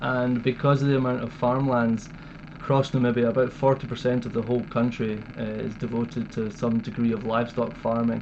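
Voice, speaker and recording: With a Scottish accent, a man talks fairly quickly at a medium pitch. His intonation is monotone and flat, and background noise is noticeable. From Scotland, Dumfries. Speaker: wildlife conservationist. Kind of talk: interview.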